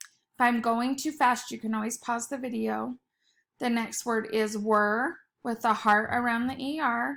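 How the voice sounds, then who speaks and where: On a very clean recording with a silent background, a woman speaks in an unremarkable speaking voice. Her pitch is fairly high, her intonation fairly even and her pace fairly slow. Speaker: teacher. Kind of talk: tutorial. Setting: recorded video lesson.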